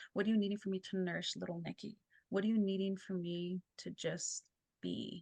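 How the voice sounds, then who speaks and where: A woman talks at a fairly quick pace in a medium pitch, somewhat breathy, with a dark, mellow tone. Her intonation is monotone and flat, and the sound is dry and close with no echo. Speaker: clinical therapist and energy healer. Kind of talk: casual interview.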